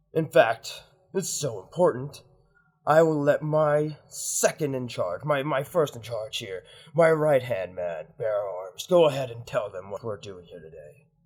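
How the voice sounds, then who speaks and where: A man's put-on character voice at a moderate pace, with big swings in loudness. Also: fairly high pitch for a man. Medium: actual play. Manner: loud, pompous.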